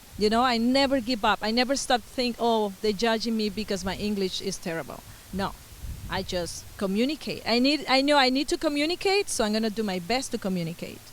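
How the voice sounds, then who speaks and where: Lively intonation and a fairly high pitch from a woman. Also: fairly quick pace. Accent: Venezuelan. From Venezuela. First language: Spanish. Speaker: musician and Spanish teacher. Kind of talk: interview.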